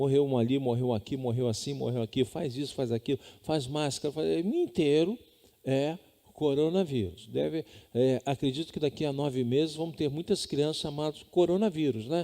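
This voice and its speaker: At a moderate pace, a man speaks in a fairly high pitch with a dark, mellow tone and ordinary pitch variation. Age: 60s. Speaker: pastor. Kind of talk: sermon. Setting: home.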